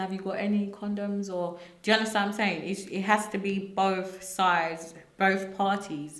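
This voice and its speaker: A woman speaks at a medium pitch in a monotone, flat intonation. Noticeable background noise and audible room echo fill the recording. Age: 20s. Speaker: young mother. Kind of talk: testimony.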